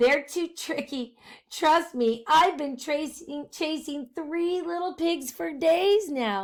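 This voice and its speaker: Putting on a character voice, a woman speaks in a squeaky, high pitch. She goes at a very slow pace. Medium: read story. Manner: sly, confiding.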